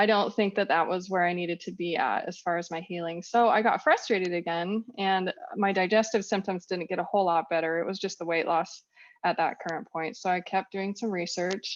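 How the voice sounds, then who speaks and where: Against a quiet background, a woman with a West Coast accent speaks at a fairly quick pace, her medium pitch following fairly even intonation. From Northern California. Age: 40s. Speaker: raw vegan lifestyle influencer. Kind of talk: podcast interview.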